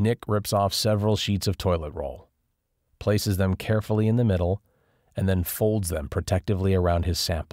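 In a normal speaking voice, a man with fairly low pitch and fairly even intonation comes through on a very clean recording with a silent background. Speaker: audiobook narrator. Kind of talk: dramatic thriller audiobook narration, reading aloud. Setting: studio.

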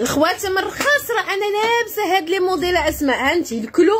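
A woman with a Moroccan accent speaks at a moderate pace in an animated tone, her pitch swinging very widely. Light background noise is present. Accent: Moroccan Darija with French loanwords. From Morocco. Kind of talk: live-stream sales pitch. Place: shop. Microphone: phone near.

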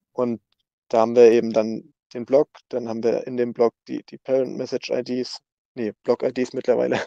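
A man talks at a moderate pace in a dark, mellow tone. His intonation is monotone and flat, against a quiet background. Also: dry sound with no echo. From northern Germany, near Rostock; northern Germany. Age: 20s. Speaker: software developer at a crypto foundation; guest. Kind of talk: casual interview. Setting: online voice chat. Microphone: video call.

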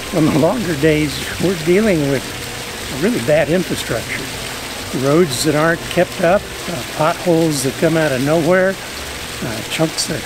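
Noticeable background noise sits behind a man talking at a moderate pace. The sound is dry, with no echo. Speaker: RV travel vlogger. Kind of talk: casual vlog chat. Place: garden.

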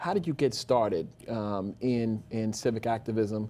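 A man with an American accent and a dark, mellow tone. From New York. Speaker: community board chair and TV host. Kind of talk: interview. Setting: studio. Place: studio. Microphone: lapel.

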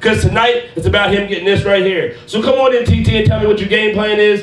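Music runs in the background and the room echo is audible as a man talks in a high voice. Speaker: wrestling ring announcer. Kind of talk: wrestling promo, hyping a tournament match. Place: studio.

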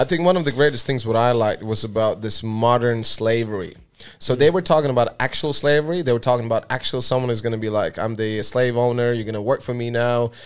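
The delivery is very fast. Its pitch varies in the usual way. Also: man. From post-Soviet Eastern Europe. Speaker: podcast host. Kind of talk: casual chat. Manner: animated. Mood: amused, animated storytelling. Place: studio. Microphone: studio mic.

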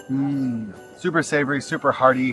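Man's voice with fairly even intonation, dry with no echo, faint music in the background. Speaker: travel vlogger. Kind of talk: casual vlog chat. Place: market. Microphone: phone near.

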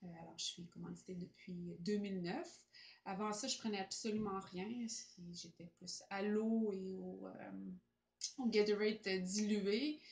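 Speaking at a medium pitch in a Quebec accent, a woman goes at a very slow pace with long, frequent pauses and ordinary pitch variation. Her loudness swings widely, and room echo is audible. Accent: Québécois French. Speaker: amateur athlete. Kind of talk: testimonial; testimonial talk to camera. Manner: hesitant. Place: home room. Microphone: camera far.

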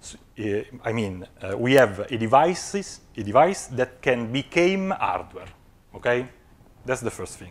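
A man speaks at a moderate pace with an Italian accent. His pitch swings very widely. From Italy. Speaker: physics researcher; conference presenter. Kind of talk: conference talk. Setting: stage with audience. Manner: halting, many filler sounds. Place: hall.

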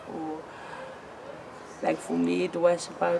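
Noticeable background noise accompanies a woman as she speaks. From Cape Town, South Africa. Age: 20s. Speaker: sex worker and advocacy lobbyist. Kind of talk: interview answer. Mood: frank, sometimes smiling despite grim topic. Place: street.

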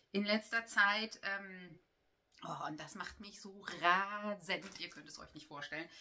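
A woman talks at a very slow pace in a bright, sharp tone, with big swings in loudness. Her intonation is fairly even, and light background noise is present. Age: 40s. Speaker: knitting vlogger and yarn shop owner; knitting vlogger. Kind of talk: casual chat. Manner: hesitant, with many filler sounds. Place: home room. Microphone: camera far.

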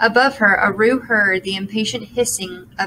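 This is a natural reading voice. The clip carries a natural reading voice throughout.

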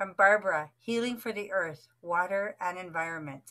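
Here is a woman with a normal speaking voice at medium pitch. She talks at a fairly slow pace with ordinary pitch variation. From Canada. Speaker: online gathering host. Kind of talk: casual hosting. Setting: video call.

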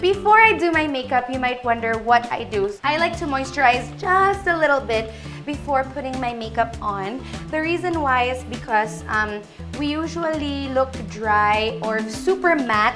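With clear music in the background, a woman speaks at a moderate pace and a high pitch. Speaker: beauty vlogger. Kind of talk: casual tutorial chat. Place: home room.

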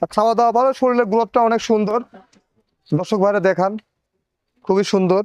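A man's high-pitched voice with fairly even intonation and very even loudness. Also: dry, close sound with no echo. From Pabna, Bangladesh. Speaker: dairy farmer. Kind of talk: casual sales pitch on a farm tour.

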